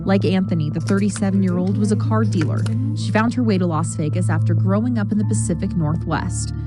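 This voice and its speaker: A woman at a very fast pace with very even loudness, music playing in the background. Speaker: TV news reporter. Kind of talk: TV news report.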